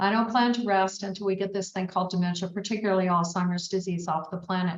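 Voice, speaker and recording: A woman of medium pitch talks very fast in a somewhat breathy voice. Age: 70s. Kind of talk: webinar presentation. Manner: animated.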